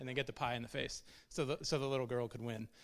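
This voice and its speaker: A man races along at a very fast pace on a very clean recording with a silent background. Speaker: church member on missions team. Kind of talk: church testimony talk. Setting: church service.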